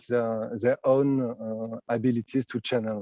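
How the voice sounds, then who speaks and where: Dry and close with no echo, a man's voice carries a dark, mellow tone and a French accent. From France. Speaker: clairvoyant. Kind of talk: interview. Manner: halting, many fillers.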